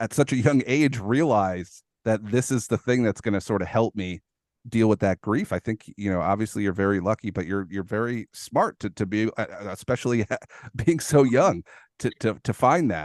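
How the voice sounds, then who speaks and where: A man with a plain, everyday voice speaks at a fairly low pitch and a moderate pace, with ordinary pitch variation. The sound is dry and close with no echo, over a quiet background. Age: 30s. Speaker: podcast host. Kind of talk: interview.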